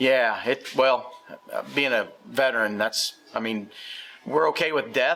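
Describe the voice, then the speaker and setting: Through noticeable background noise, a man speaks at a fairly slow pace and medium pitch. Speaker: bait shop manager. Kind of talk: interview answer.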